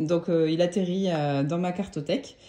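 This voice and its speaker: A woman speaks at a very slow pace. There is noticeable background noise. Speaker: tarot deck collector and YouTuber. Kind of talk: casual vlog review. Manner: hesitant with many fillers.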